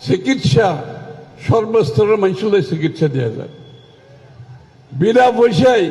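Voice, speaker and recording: This man's voice sits high in pitch, with lively intonation. Noticeable background noise is present. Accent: Chittagong. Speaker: government minister. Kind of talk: political speech.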